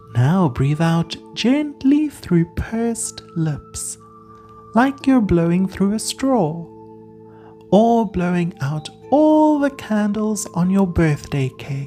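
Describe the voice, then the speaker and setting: Very slow and calm in tone, the voice moves through very wide pitch swings while music plays in the background. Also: woman, medium pitch for a woman. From South Africa. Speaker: counsellor, podcast host. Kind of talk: guided breathing relaxation. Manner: calm, slow.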